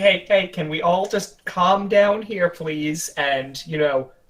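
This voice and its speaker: Here a man uses a put-on character voice. His pitch is high and his pace fairly slow. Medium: actual play. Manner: exasperated, sarcastic.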